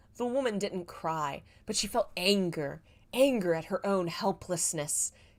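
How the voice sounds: This is a natural reading voice. It carries no other marked traits.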